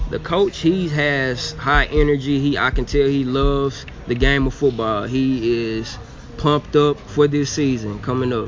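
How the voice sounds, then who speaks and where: Noticeable background noise sits behind a man speaking at medium pitch, fairly slowly and with fairly even intonation. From Arkansas, Little Rock. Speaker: football tryout player. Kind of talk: interview.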